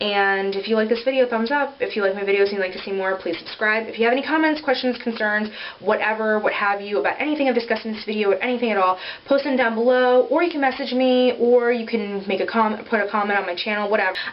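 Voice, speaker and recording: Amid noticeable background noise, a woman with a fairly high pitch and ordinary pitch variation talks at a very fast pace with hardly any pauses. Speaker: beauty vlogger. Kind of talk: casual product review vlog. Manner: casual with many filler ums.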